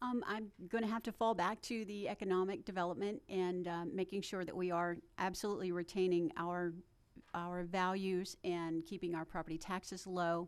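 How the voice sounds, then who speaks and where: In a Tennessee accent, a woman speaks at a medium pitch with fairly even intonation. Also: moderate pace. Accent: Southern US (Tennessee). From Smyrna, Tennessee (US South). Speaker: town council candidate. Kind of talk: candidate forum answer.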